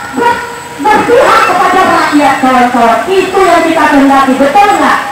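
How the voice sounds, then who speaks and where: A woman speaks with crowd noise in the background. The room echo is audible. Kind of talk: protest speech. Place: street. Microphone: pa.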